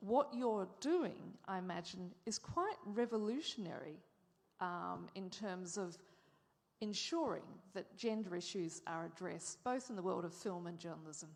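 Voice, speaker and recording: With ordinary pitch variation, the words come at a fairly slow pace. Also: woman, medium pitch for a woman. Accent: Australian. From Australia. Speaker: moderator and journalist. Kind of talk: interview on stage.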